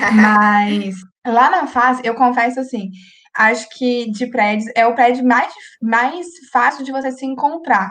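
A woman talks with ordinary pitch variation. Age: 20s. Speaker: accounting student. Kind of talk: casual chat.

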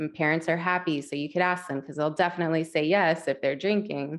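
A woman with an American accent speaks in a plain, everyday voice, her pitch fairly low and ordinarily varied. The background is quiet. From West Virginia. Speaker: mental health counselor and life coach. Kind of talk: interview conversation.

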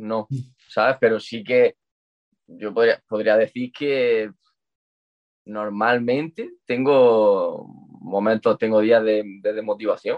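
Very slowly and with long, frequent pauses, a man speaks at a medium pitch with fairly even intonation. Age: 20s. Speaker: calisthenics athlete. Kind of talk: casual chat.

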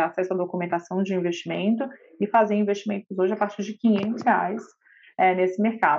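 A woman with an unremarkable speaking voice talks at a moderate pace and a medium pitch with fairly even intonation. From Brazil, Belo Horizonte. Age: 30s. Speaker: lawyer and health startup executive. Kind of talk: podcast interview.

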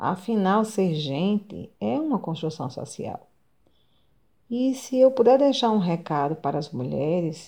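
A woman with a dark, mellow tone speaks at a fairly slow pace with very wide pitch swings. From Brazil, Rio Grande do Norte (coastal town near Natal). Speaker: nutritionist and social sciences graduate student. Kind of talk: personal testimony, largely read. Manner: formal.

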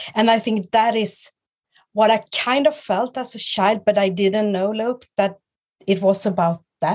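In a Swedish accent, the speaker goes at a fairly slow pace with ordinary pitch variation. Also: woman. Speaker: guest, clothing stylist and business owner. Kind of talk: casual interview chat. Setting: video call.

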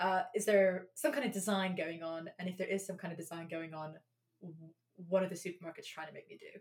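The speaker has a London accent and talks at a very fast pace, somewhat breathy. Loudness swings widely while pitch variation stays ordinary. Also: woman, medium pitch for a woman. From England, London. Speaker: podcast co-host. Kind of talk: casual chat.

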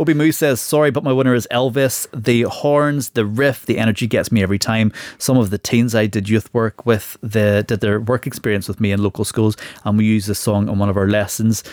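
A man with an ordinary speaking voice talks at a fairly quick pace and a medium pitch, with ordinary pitch variation. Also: very clean recording, silent background. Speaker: podcast host. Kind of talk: casual chat.

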